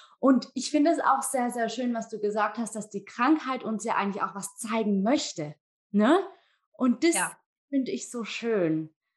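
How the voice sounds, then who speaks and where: A woman speaks at a moderate pace in a plain, everyday voice, fairly high-pitched with lively intonation. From Germany. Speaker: guest podcast host. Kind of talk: casual interview.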